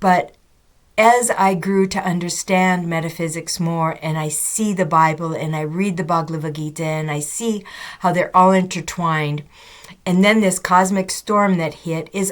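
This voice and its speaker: This woman speaks at a fairly slow pace, her medium pitch rising and falling in an ordinary way. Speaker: spiritual vlogger. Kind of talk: casual monologue. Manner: halting.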